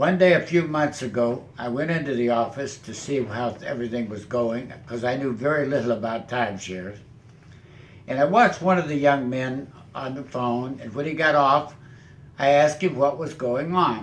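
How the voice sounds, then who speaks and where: A man speaks with ordinary pitch variation, and a room echo can be heard. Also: medium pitch for a man, moderate pace. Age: 80s+. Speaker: retiree helping seniors exit timeshares. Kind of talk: testimonial. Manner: conversational.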